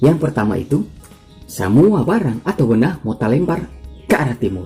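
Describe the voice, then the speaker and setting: Music sounds in the background. A man talks with very wide pitch swings. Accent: Manado. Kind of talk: casual science explainer narration. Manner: humorous, chatty.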